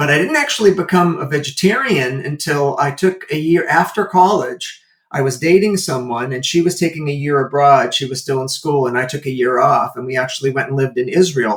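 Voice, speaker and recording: This is a normal speaking voice, moving at a fairly quick pace with hardly any pauses and ordinary pitch variation. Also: man, fairly high pitch for a man. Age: 60s. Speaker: animal welfare entrepreneur and martial artist. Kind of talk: interview conversation. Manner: casual with fillers.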